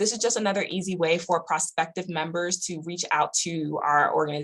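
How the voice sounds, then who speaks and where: The speech moves at a very fast pace. Its intonation stays fairly even. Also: woman. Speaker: university student activities coordinator. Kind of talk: online workshop presentation.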